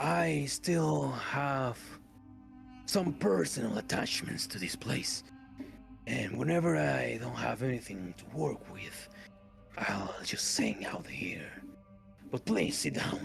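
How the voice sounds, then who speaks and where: A man whispers in a put-on character voice at a fairly slow pace. Clear music plays behind him. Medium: actual play. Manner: formal, polite.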